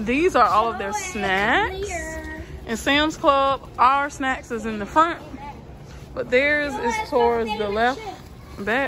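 A woman projects a raised voice over crowd noise in the background. She talks very slowly, with long, frequent pauses and very wide pitch swings. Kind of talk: casual vlog chat. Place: shop. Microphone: phone near.

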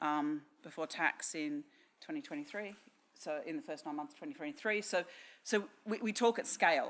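With an Australian accent, a woman speaks at a fairly slow pace in a fairly low pitch. Her intonation is lively. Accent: Australian, noticeable. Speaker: technology strategy director at a bank. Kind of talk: conference talk. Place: hall. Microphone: podium.

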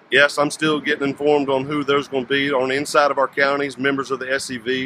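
A man speaks over light background noise, with a dry sound and no echo. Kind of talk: interview answer. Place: street. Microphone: phone near.

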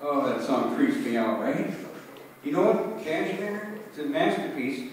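The man talks at a fairly slow pace. There is strong room echo around his voice.

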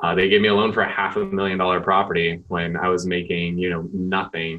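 A man with an American accent and a very deep, low voice, talking at a fairly quick pace against a quiet background. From San Diego, California; California. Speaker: real estate team leader; podcast guest. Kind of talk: podcast interview. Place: office.

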